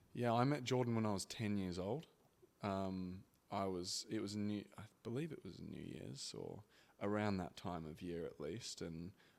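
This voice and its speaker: In an Australian accent, the speech moves at a fairly slow pace with a relaxed tone and ordinary pitch variation. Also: man. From Australia (Brisbane). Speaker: former athlete, father. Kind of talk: interview. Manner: relaxed, hesitant with fillers.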